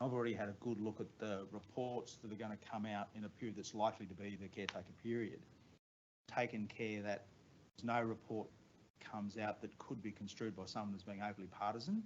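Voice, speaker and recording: A man with an Australian accent and a fairly low pitch, flat and monotone at a fairly quick pace. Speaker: head of a government agency. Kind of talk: staff briefing. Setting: meeting room with online audience. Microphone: too far from the mic.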